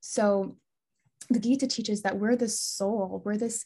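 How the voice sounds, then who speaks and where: A woman with a fairly high pitch and a dark, mellow tone talks at a fairly slow pace, somewhat breathy, with fairly even intonation. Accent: American. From US Midwest, Des Moines, Iowa. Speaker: Ayurvedic health counselor and yoga teacher. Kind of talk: podcast interview.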